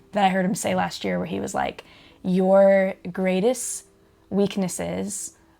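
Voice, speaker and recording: Soft-spoken and very slow, a woman speaks in a dark, mellow tone. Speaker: pastor's wife and podcast guest. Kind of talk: casual chat. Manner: halting.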